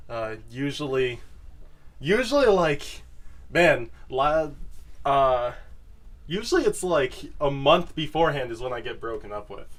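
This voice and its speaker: Lively in intonation, a man speaks at a fairly slow pace with long, frequent pauses. His loudness swings widely. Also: fairly high pitch for a man. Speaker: podcast host. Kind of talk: casual chat.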